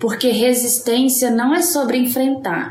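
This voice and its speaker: A woman's voice amid noticeable background noise. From Brazil, Minas Gerais. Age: 30s. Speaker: podcast co-host. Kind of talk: casual chat. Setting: in person, recorded live together.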